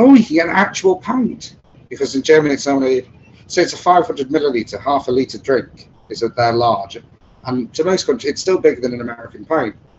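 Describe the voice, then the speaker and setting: Speaking with a northern English accent, a man uses a fairly high pitch, a fairly quick pace and lively intonation. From Chester, northern England. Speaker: bass trombonist in a brass band. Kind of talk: casual interview chat.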